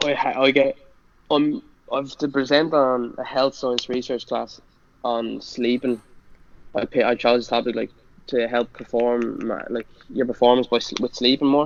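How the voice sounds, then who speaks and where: The speaker has a strong Irish accent and a monotone, flat intonation. Long pauses come often. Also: man, medium pitch for a man. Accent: thick Irish. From Ireland (Bray, County Wicklow). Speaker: college football player. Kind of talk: casual chat. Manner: fast; stutters when nervous.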